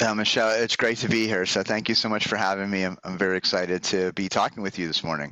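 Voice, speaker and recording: A man with an American accent talks at a very fast pace with hardly any pauses, in a fairly low voice with a bright, sharp tone. His intonation is fairly even, and the background is quiet. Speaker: professor. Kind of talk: interview.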